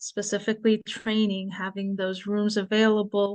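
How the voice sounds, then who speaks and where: A woman talks at a fairly quick pace in a plain, everyday voice of medium pitch. The background is quiet. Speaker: panelist on family focus groups. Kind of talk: webinar presentation.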